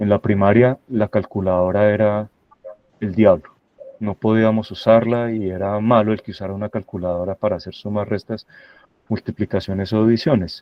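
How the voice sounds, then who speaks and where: Flat, monotone intonation at a moderate pace. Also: man, fairly low pitch for a man. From Colombia, Santa Rosa de Cabal (Risaralda, paisa region). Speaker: university professor, guest speaker on AI. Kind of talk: lecture presentation. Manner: hesitant fillers, repeats words.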